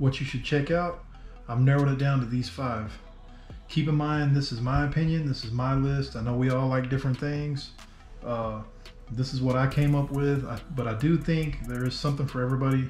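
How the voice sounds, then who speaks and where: Over faint background music, a man speaks at a fairly quick pace with fairly even intonation, with audible room echo. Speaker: RC hobby vlogger. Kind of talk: casual vlog chat. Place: home room.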